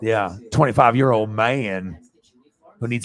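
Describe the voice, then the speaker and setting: A man speaks in a normal speaking voice, fairly low in pitch. His pace is moderate, with ordinary pitch variation. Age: 40s. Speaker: sports livestreamer. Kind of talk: casual chat. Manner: rambling, filler-heavy.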